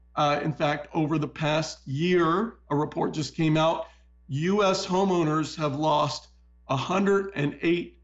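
Music plays in the background as a man talks at a very slow pace with a fairly high pitch. His loudness stays very even and his intonation fairly even. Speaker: political and economic commentator. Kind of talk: interview with news commentary. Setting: studio.

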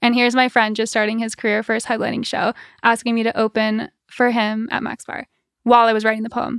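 A woman with an American accent speaks at a fairly high pitch and a fairly quick pace with monotone, flat intonation, in a very clean recording with a silent background and a dry, close sound with no echo. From US Midwest. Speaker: musician. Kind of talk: casual chat. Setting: studio.

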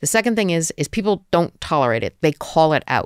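In a New Jersey accent, a woman with a fairly low pitch talks at a very fast pace on a very clean recording with a silent background. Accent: American, New Jersey. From US, New Jersey. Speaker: venture capital investor. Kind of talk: podcast interview. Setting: studio.

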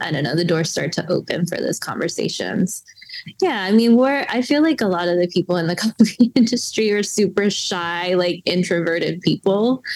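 Noticeable background noise accompanies a woman with an American accent who speaks at a moderate pace, with medium pitch and lively intonation. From US South, western North Carolina. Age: 30s. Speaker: coffee roaster and business owner. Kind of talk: casual interview chat.

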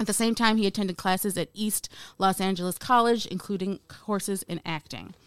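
A woman with an American accent and an unremarkable speaking voice, medium in pitch, at a fairly quick pace with fairly even intonation, in a very clean, dry, close recording with no echo and a silent background. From United States. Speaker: podcast host and film producer. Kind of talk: casual chat; scripted narration.

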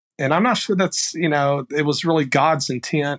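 Fairly even intonation marks this voice with a Texan accent, heard on a very clean recording with a silent background. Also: man, dry, close sound with no echo. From rural Texas. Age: 50s. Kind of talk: casual chat.

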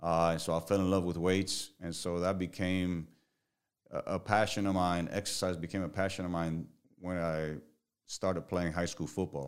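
Very deep and low, a man's voice with a Spanish accent moves at a moderate pace in a flat monotone, on a very clean recording with a silent background. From Puerto Rico. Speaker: strength and conditioning coach. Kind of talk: casual interview chat.

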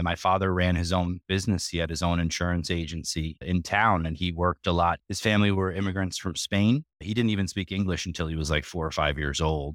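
In a very clean recording with a silent background and a dry, close sound with no echo, a man with a New York accent speaks at a very deep, low pitch with fairly even intonation and hardly any pauses. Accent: New York-area American. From New York (Sleepy Hollow), US. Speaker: network infrastructure executive. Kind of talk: interview.

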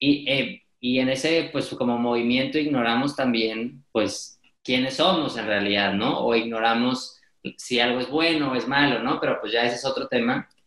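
A man's normal speaking voice at a medium pitch, fairly even in intonation, at a moderate pace. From Mexico, Monterrey. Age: 20s. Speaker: podcaster and speaker. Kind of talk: interview.

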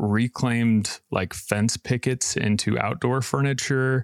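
A man with an unremarkable speaking voice and fairly even intonation, on a very clean recording with a silent background. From Idaho. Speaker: furniture maker and business owner. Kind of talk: interview.

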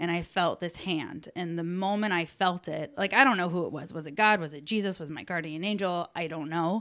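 In a very clean recording with a silent background, a woman talks with an ordinary speaking voice, fairly low in pitch with ordinary pitch variation. She moves at a fairly quick pace with hardly any pauses, her loudness swinging widely. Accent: American. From Alabama, later Chicago suburbs. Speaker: podcast guest. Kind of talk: casual chat.

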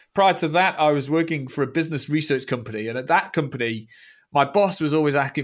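Speaking at a very fast pace, a man with a fairly high pitch uses ordinary pitch variation on a very clean recording with a silent background. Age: 50s. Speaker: data visualization expert. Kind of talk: interview.

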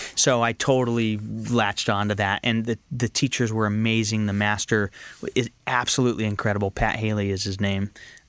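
Speaking at a fairly quick pace, a man holds a monotone, flat intonation at a fairly low pitch. The recording is very clean with a silent background and a dry, close sound with no echo. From Northern California. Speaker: actor and filmmaker. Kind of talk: casual interview chat. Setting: studio.

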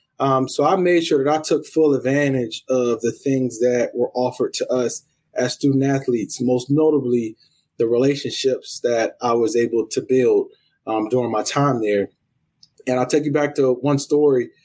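An American-accented man speaks at medium pitch and a moderate pace, with very even loudness. It is an ordinary speaking voice with fairly even intonation. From US South, South Carolina (Columbia). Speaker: college athletics administrator. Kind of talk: interview. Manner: frequent fillers (um, uh).

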